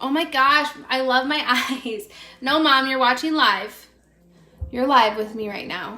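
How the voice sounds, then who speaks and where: With music in the background and audible room echo, a woman speaks in a raised, projected voice at a high pitch, a fairly slow pace, ordinary pitch variation and long, frequent pauses. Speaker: makeup livestreamer, stay-at-home mom. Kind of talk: casual live makeup stream chat. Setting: live video stream at home. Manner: chatty, rambling.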